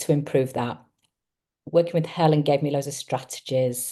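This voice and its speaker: A woman's very deep, low voice with an English accent, dark and mellow in tone, at a fairly quick pace with ordinary pitch variation. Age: 60s. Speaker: psychotherapist. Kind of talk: testimonial interview.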